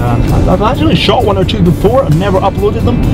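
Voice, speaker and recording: Scottish accent at a fairly quick pace, over clear background music. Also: man. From Scotland. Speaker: filmmaker and photographer. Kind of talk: casual vlog talk to camera. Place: car. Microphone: camera far.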